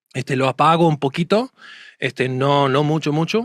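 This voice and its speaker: Speaking at a moderate pace, a man with a strong Argentine accent uses a fairly high pitch and ordinary pitch variation. The sound is dry and close, with no echo. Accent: Argentine Spanish accent, still fairly strong. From United States. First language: English (speaking Spanish). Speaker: court and conference interpreter. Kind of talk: casual interview chat. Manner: hesitant, many fillers and restarts.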